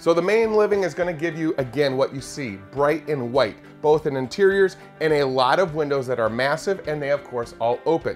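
Faint music can be heard behind the voice. A man is talking fairly fast. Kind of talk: product walkthrough presentation. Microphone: lapel.

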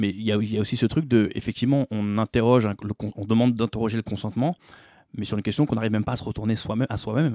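A man's dark, mellow voice at a very fast pace, with fairly even intonation, in a very clean, dry and close recording with a silent background and no echo. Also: medium pitch for a man. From Paris suburbs (Bobigny). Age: 40s. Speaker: musician and theatre actor. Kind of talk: interview conversation.

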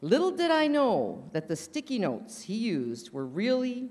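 A woman speaks at a fairly slow pace with a fairly high pitch and vocal fry. Her pitch swings very widely. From Canada. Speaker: roaster. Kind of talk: stand-up. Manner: loud. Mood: playful teasing. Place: hall. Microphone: podium.

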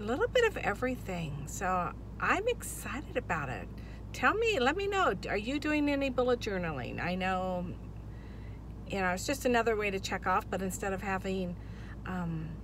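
A woman's dry voice with no echo, amid noticeable background noise. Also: moderate pace. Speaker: vlogger. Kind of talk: casual vlog chat. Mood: upbeat, excited. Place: car. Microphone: phone near.

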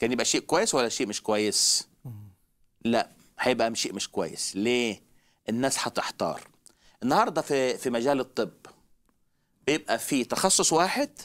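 At a moderate pace and medium pitch, a man speaks with long, frequent pauses over a quiet background. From Egypt. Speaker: traveling evangelist preacher; guest teacher on religious show. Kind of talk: religious talk show discussion. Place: studio. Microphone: headset.

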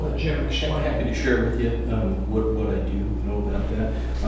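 There is strong echo in the room around this man's voice. Noticeable background noise runs underneath. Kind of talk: meeting answer to public comment. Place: meeting room.

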